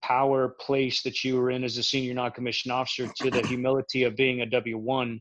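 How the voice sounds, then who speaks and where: This man speaks at a medium pitch in a monotone, with flat intonation. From Central Florida. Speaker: military veteran and film project guest. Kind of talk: casual chat.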